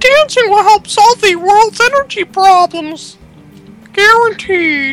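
A female-sounding voice in a put-on character voice speaks fairly slowly at an extremely high pitch, with faint music in the background.

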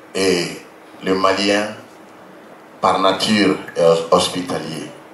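A man's very deep, low voice at a very slow pace, with light background noise and audible room echo. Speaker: speaker. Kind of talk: public speech. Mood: solemn, firm declaration. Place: stage. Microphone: handheld.

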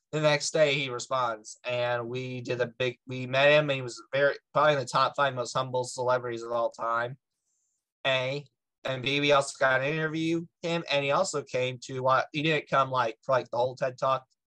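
The man's tone is bright and sharp, with fairly even intonation. Behind him the background is quiet. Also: moderate pace. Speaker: podcast guest. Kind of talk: interview answer. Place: home room. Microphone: video call.

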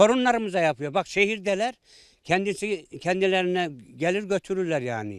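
A man with a high pitch and lively intonation talks at a moderate pace in a very clean recording with a silent background and a dry, close sound with no echo. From Central Anatolia, Ankara countryside. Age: 60s. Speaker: villager. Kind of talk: interview. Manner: halting.

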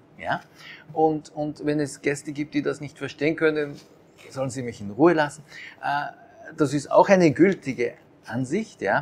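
A man with a fairly high pitch talks at a moderate pace with ordinary pitch variation, big swings in loudness, and long, frequent pauses. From Austria (Japanese-born, raised in Austria). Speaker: conductor and restaurant owner. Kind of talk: interview. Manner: hesitant, many fillers. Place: cafe. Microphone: lapel.

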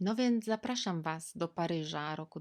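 A woman speaks very slowly at a fairly low pitch with ordinary variation, in a very clean recording with a silent background. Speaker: vlogger. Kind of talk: personal storytelling monologue. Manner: casual, conversational.

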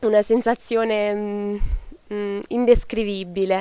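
In a dry sound with no echo, a woman speaks at a moderate pace with a fairly high pitch and monotone, flat intonation. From southern Italy, Cilento area of Campania; Campania, Italy. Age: young (19). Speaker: junior weightlifter. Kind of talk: interview. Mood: grateful, emotional. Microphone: handheld.

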